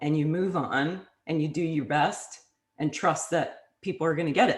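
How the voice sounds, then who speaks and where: A woman speaks at a very deep, low pitch. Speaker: interviewer with voice disorder. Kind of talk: interview.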